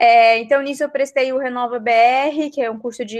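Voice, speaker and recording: With fairly even intonation, a woman speaks at a moderate pace in an unremarkable speaking voice. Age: 30s. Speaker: political candidate. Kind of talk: interview.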